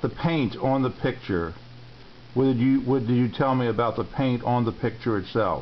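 With a plain, everyday voice, a man speaks at a moderate pace and medium pitch, with ordinary pitch variation, very even loudness, and light background noise. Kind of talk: interviewer questions. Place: home room. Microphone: phone near.

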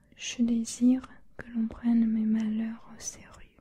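Whispering quietly at a very slow pace, a woman uses a soothing tone. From China. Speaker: ASMR creator. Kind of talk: whispered bedtime reading of a children's novel aloud. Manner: hushed, slow, soothing whisper; gentle, steady narrative pacing. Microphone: studio mic.

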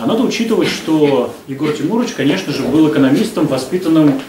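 Noticeable background noise sits behind a man talking very fast. His fairly high voice has lively intonation. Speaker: event moderator. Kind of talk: formal introduction and moderation.

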